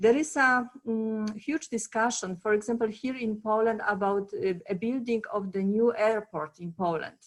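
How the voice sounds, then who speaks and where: With a Polish accent, a woman speaks at a fairly high pitch with hardly any pauses. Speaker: conference panelist, former project manager. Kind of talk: panel discussion. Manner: halting, many fillers.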